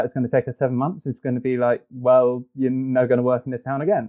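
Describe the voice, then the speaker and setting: The speaker has a British accent. The pace is very fast. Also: man. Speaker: film executive. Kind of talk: casual chat.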